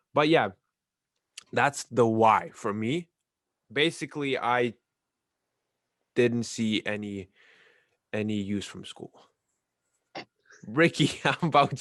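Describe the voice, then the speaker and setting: A man talks at a fairly slow pace with lively intonation and medium pitch. The sound is dry and close, with no echo. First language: not English. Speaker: ballroom dancer and podcast co-host. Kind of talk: casual podcast chat.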